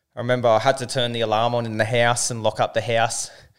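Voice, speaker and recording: On a very clean recording with a silent background, a man with an Australian accent talks at a very fast pace and a medium pitch. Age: 30s. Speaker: business owner. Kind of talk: casual chat.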